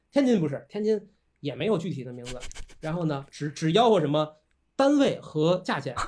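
Fairly quick and animated, a man with a fairly high pitch makes very wide pitch swings and big swings in loudness, broken by long, frequent pauses. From Tianjin, northern China. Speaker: architect and lecturer. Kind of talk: casual chat.

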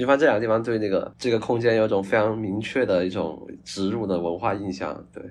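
Talking at a fairly quick pace with hardly any pauses, a man has a fairly low pitch and ordinary pitch variation. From Guangdong, China (Hakka). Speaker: screenwriter and film student. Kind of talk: casual chat. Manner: halting, repeats words.

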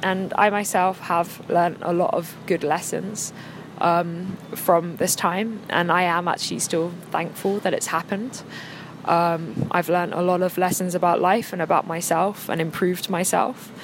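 A woman with an English accent speaks at a fairly slow pace and a fairly low pitch. Her intonation is fairly even, her loudness very even, and background noise is noticeable. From England. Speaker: podcast guest. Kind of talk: casual chat.

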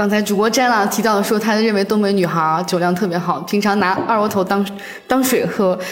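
Speaking at a fairly quick pace, a woman keeps very even loudness and fairly even intonation, with audible room echo and noticeable background noise. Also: medium pitch for a woman. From northeast China. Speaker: office worker. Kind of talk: casual chat.

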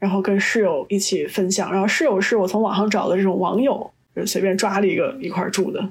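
Using an ordinary speaking voice, a woman talks at a medium pitch and a moderate pace. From China. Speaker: podcast guest, chemist. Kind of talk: casual chat.

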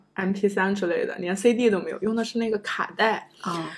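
A woman with an unremarkable speaking voice, medium in pitch, with ordinary pitch variation and a fairly quick pace. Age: 30s. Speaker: former PhD student turned office worker. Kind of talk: casual interview chat. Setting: home.

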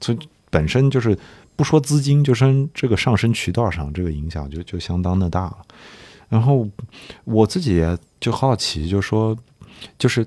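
In a very clean recording with a silent background, a man speaks at a moderate pace in a fairly low, dark, mellow voice. His pitch swings very widely, and he leaves long, frequent pauses. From Nanjing, China. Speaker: sports podcast host. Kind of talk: casual chat.

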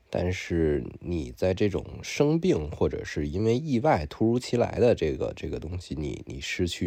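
Vocal fry runs through a dark, mellow tone delivered at a moderate pace. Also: man, quiet background. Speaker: podcast co-host. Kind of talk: casual chat.

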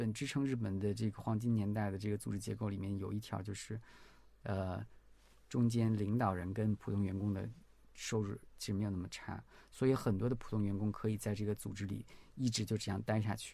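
This man's voice sits fairly low, with a dark, mellow tone. He talks at a fairly quick pace in a monotone, flat intonation. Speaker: researcher. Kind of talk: casual chat.

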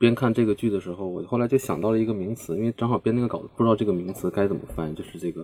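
A man talks at a fairly low pitch with a dark, mellow tone. The sound is dry and close, with no echo. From Changchun, northeast China. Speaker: book editor. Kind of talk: casual panel discussion. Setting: remote call.

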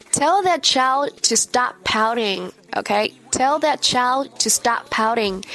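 Speaking very slowly with a Chinese accent, a woman uses a high pitch and lively intonation at very even loudness, with noticeable background noise behind her. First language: Mandarin Chinese. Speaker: English teacher. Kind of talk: language lesson. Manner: slow, deliberate enunciation.

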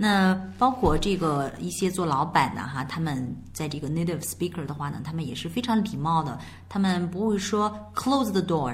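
At a moderate pace, a woman with a Chinese accent speaks at a fairly low pitch in very wide swings, with audible room echo. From China. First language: Mandarin Chinese. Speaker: English teacher. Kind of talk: bilingual language lesson.

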